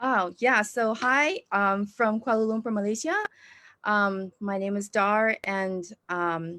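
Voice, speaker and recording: A woman with an American accent speaks at a very slow pace in a bright, sharp tone. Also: medium pitch for a woman, ordinary pitch variation. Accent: American-leaning. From Indonesia. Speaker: church planting trainer. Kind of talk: interview. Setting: video call.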